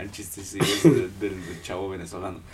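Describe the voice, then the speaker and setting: At a fairly quick pace, a man speaks with lively intonation amid audible room echo. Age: 20s. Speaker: podcast host. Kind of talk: casual chat.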